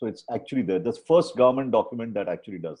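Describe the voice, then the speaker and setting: Here a man speaks with lively intonation. His tone is dark and mellow. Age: 60s. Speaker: doctor. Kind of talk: panel discussion.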